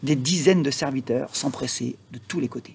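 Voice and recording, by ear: A man's slightly mellow voice at a moderate pace, with a husky, rough edge and vocal fry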